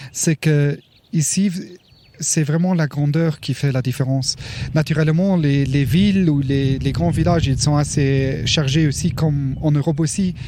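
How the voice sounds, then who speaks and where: Noticeable background noise sits behind a man who talks at a fairly slow pace in a fairly high pitch, with fairly even intonation and very even loudness. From Luxembourg. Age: 40s. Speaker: park ranger. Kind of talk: interview. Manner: halting.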